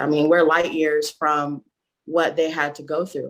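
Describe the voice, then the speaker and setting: In a very clean recording with a silent background, a woman with an American accent speaks at a fairly slow pace. Her very deep, low voice stays monotone and flat. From Nigeria. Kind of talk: casual chat. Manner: halting, many fillers.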